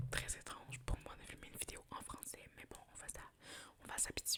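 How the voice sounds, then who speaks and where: Words come at a fairly slow pace. All of it is whispered. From Montreal, Quebec. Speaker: ASMR creator. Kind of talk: ASMR roleplay with rambling talk to camera.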